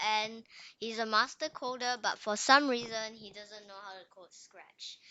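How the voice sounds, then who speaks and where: A woman's ordinary speaking voice, fairly high in pitch, fairly slow in pace, with fairly even intonation. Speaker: coding tutorial host. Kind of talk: tutorial. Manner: casual, rambling.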